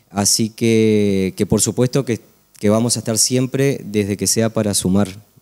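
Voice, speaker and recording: Here a man speaks at a fairly slow pace with a fairly low pitch and a dark, mellow tone. His intonation is fairly even, his loudness very even, and the background quiet. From Uruguay. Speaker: event collaborator; TV guest. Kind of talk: TV interview. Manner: halting. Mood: friendly, grateful. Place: studio. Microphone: handheld.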